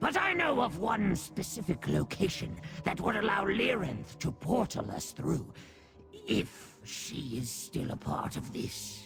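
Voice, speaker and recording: A man does a put-on character voice at a fairly high pitch and a fairly slow pace. Clear music plays in the background. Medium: video game. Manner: obsequious, theatrical.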